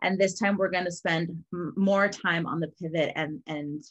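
Against a quiet background, a plain, everyday voice moves at a moderate pace with fairly even intonation. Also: woman. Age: 30s. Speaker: podcast host. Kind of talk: casual interview. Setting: video call.

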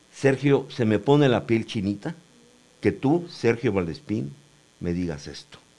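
This man talks at a fairly slow pace in a medium-pitched voice with vocal fry, a dark, mellow tone and very wide pitch swings. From Mexico, Cuautla, Morelos. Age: 70s. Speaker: painter and graphic designer. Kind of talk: interview. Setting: studio.

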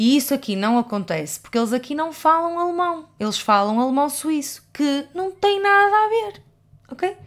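A woman with a European Portuguese accent speaks at a moderate pace in a high voice, her pitch swinging very widely. The recording is very clean with a silent background. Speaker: podcast co-host. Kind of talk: casual chat.

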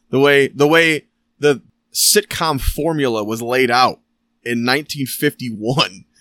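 Lively intonation and a bright, sharp tone in an American accent, on a very clean recording with a silent background. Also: man. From Michigan. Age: 30s. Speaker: podcast host. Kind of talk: casual chat.

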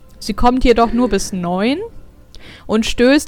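A woman speaks very slowly in a fairly high pitch. Her intonation is lively. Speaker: podcast co-host. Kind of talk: casual chat. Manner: chatty, giggly, informal.

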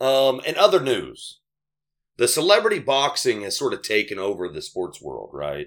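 The tone is animated at a moderate pace. Loudness swings widely. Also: man. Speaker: podcast host. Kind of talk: casual banter. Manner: animated, joking.

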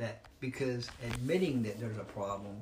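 With noticeable background noise behind him, a man speaks at a medium pitch. His pitch variation is ordinary. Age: 70s. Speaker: licensed counselor. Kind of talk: interview. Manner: halting.

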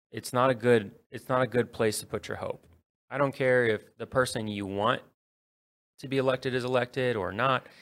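Here a man has a normal speaking voice, talking at a moderate pace and medium pitch with fairly even intonation. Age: 30s. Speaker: city council candidate. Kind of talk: radio interview.

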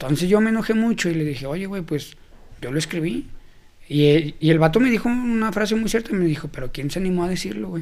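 This man speaks at a very fast pace with a high pitch. His intonation is lively. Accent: Mexican. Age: 20s. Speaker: youth leader and event organizer. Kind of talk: casual interview.

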